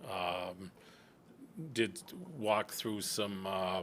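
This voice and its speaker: The speaker is a man with a very deep, low pitch. He talks at a very slow pace. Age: 60s. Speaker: real estate developer. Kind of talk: public meeting testimony. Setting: town planning board meeting. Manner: halting.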